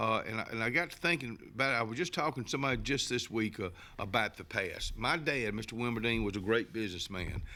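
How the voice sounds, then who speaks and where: A man's medium-pitched voice with an Alabama accent at a very fast pace, hardly any pauses and ordinary pitch variation, on a very clean recording with a silent background. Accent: Southern US (Alabama). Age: 70s. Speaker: local TV talk show host. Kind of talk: casual talk show monologue. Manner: halting, many repetitions and fillers.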